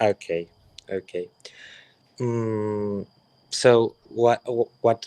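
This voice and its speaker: A man's medium-pitched voice, dark and mellow in tone, with monotone, flat intonation, a very slow pace and long, frequent pauses, in a dry, close sound with no echo. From Spain, Catalonia. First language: Spanish or Catalan. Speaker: caller. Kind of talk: heated debate. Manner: halting.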